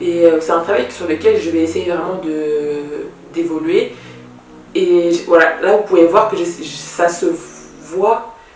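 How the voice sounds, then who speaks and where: A woman at a very slow pace with long, frequent pauses and fairly even intonation, audible room echo and music in the background. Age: 20s. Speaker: YouTuber, self-published author. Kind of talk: casual vlog monologue. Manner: halting, with repetitions; deliberately slowed, careful articulation.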